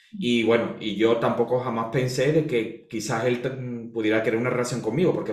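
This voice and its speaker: A man's medium-pitched voice at a fairly quick pace, with audible room echo and noticeable background noise. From Spain. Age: 40s. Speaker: astrologer and holistic therapist. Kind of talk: interview, life story.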